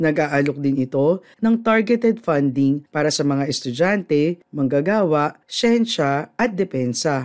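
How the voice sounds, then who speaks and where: A man with an ordinary speaking voice, fairly slow pace, lively intonation, very even loudness and hardly any pauses, in a very clean recording with a silent background. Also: fairly high pitch for a man. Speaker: news presenter. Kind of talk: formal newsreading, steady studio-style delivery of budget figures and statements. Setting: studio. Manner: formal; measured, even-paced, neutral and businesslike with little emotional color.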